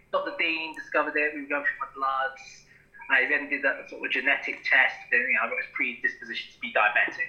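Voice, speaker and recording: A man with a British accent at a fairly quick pace, over noticeable background noise. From Britain. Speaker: podcast co-host, bodybuilder. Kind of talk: casual chat.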